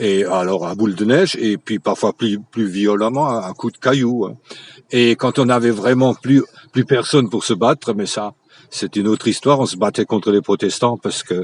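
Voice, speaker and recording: In a dry, close sound with no echo, a man speaks at a moderate pace, his fairly low pitch showing ordinary variation. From Moselle, France (Franconian dialect area). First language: Franconian dialect (Platt) (speaking French). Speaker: local history enthusiast. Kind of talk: radio interview.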